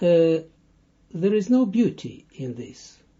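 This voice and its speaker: The man's intonation is lively. He speaks at a very slow pace. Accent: Russian. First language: Russian. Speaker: Kabbalah teacher. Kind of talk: lecture. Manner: halting.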